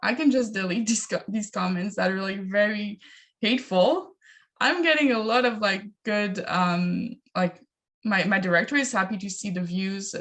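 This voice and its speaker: A woman talks at a moderate pace with a medium pitch. Her voice is somewhat breathy, with lively intonation. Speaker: digital media content creator. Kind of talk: panel discussion. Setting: video call. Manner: hesitant, many fillers.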